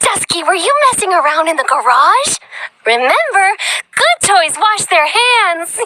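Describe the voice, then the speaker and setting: A female-sounding put-on character voice speaks at a moderate pace with an extremely high pitch. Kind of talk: sing-song villain. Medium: video game. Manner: saccharine, giggling, sudden menace.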